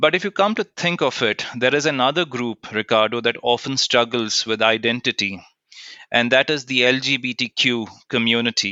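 Speaking in a normal speaking voice, a man keeps a medium pitch and moderate pace with ordinary pitch variation. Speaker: co-host, diversity professional.

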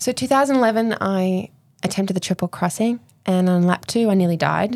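A woman with an Australian accent, medium pitch and ordinary pitch variation, at a fairly quick pace on a very clean recording with a silent background. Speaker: endurance swimmer and domestic violence advocate. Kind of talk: interview, personal story.

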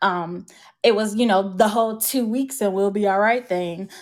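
A woman's medium-pitched voice with an American accent, a normal speaking voice at a moderate pace, with fairly even intonation. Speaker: Disney travel agent. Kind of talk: casual interview chat. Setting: video call.

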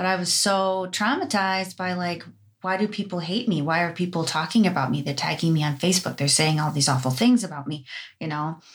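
In a very clean recording with a silent background, a woman with a fairly low pitch and an American accent sounds somewhat breathy, speaking at a fairly quick pace with ordinary pitch variation. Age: 30s. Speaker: esthetician and business owner. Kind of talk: casual chat.

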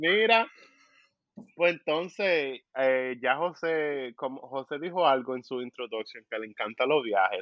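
With lively intonation and fairly high pitch, a man speaks at a very slow pace. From Caribbean, US Virgin Islands with Dominican parents. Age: 20s. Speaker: podcast co-host, engineer. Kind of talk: casual chat.

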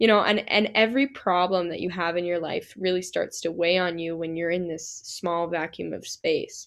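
A woman's normal speaking voice in an American accent, at a moderate pace with fairly even intonation and hardly any pauses. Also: fairly low pitch for a woman. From Utah, Salt Lake City. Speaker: singer-songwriter. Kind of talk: casual chat.

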